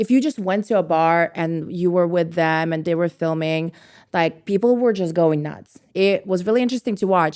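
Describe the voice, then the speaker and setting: In a very clean recording with a silent background, a woman speaks at a moderate pace in a fairly low voice with ordinary pitch variation. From Estonia. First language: Russian. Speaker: brand founder. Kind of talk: casual chat. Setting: podcast studio.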